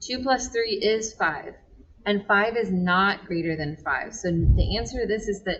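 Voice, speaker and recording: Over noticeable background noise, this woman talks at a moderate pace, her pitch varying in an ordinary way. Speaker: math teacher. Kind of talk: tutorial.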